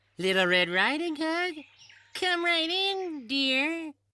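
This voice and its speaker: A put-on character voice, high and squeaky, delivered at a very slow pace. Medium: read story. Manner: sly, gloating.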